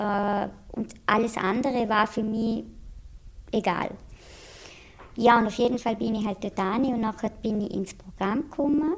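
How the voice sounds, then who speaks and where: Somewhat breathy and fairly high in pitch, a woman speaks at a fairly slow pace with ordinary pitch variation and long, frequent pauses. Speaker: patient in addiction treatment. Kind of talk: interview testimony. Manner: hesitant, many filler sounds; plain colloquial speech.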